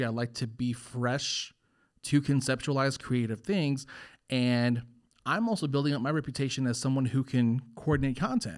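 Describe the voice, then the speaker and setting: A man's normal speaking voice, medium in pitch and moderate in pace, in a very clean recording with a silent background. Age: 20s. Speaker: podcast host. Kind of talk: casual chat. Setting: studio.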